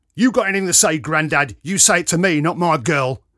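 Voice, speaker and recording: In a put-on character voice, a man bellows and growls, raspy and raised to a projected pitch that runs fairly high. He speaks at a fairly quick pace with lively intonation, in a very clean recording with a silent background. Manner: bellowing, confrontational.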